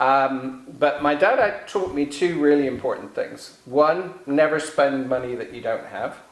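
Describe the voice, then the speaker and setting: The voice rings with audible room echo and noticeable background noise. It runs on with hardly any pauses, its loudness swinging widely. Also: man, fairly high pitch for a man, ordinary pitch variation. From England. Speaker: author. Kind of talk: interview. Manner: halting.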